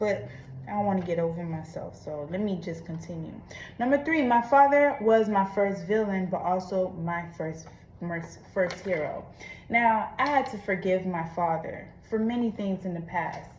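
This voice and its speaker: At a moderate pace, a woman with a medium pitch speaks with lively intonation and a somewhat breathy quality, the room echo clearly audible. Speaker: vlogger. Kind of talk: personal confession monologue. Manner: casual, conversational.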